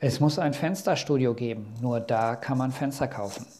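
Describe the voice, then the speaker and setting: A man with a medium pitch and a somewhat breathy voice talks at a fairly slow pace with ordinary pitch variation. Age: 40s. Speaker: master carpenter and podcast host. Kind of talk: solo podcast monologue. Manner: casual with frequent filler sounds.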